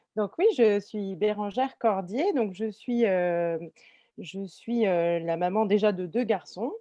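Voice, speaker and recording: Speaking at a very slow pace with long, frequent pauses, a woman has medium pitch, ordinary pitch variation and a dark, mellow tone. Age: 30s. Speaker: animal communication trainee giving testimony. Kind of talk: testimony in a webinar. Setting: webinar video call. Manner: halting, many fillers and repetitions.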